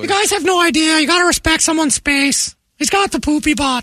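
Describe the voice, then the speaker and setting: A man's put-on character voice, extremely high-pitched and very fast. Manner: comedic, matter-of-fact.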